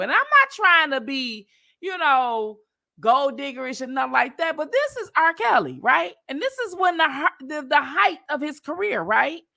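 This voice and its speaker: A woman's high, bright and sharp voice, animated, raised and projected, at a moderate pace on a very clean recording with a silent background. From Detroit. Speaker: livestream commentator. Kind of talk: casual chat.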